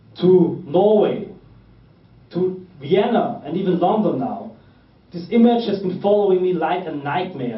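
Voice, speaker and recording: With audible room echo, a man with a German accent speaks at a high pitch and ordinary pitch variation. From Austria. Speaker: political activist. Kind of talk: political speech.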